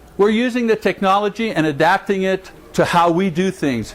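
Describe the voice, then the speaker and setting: With noticeable background noise around him, a man speaks at a moderate pace with lively intonation. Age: 60s. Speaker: preacher teaching a church class. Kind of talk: class talk. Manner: animated.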